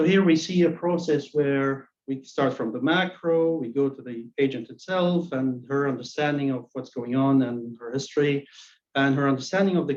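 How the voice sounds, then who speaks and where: At a moderate pace, a man with a non-native accent talks in a fairly high pitch with ordinary pitch variation. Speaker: academic presenter. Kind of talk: academic presentation. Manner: halting, with frequent repetitions.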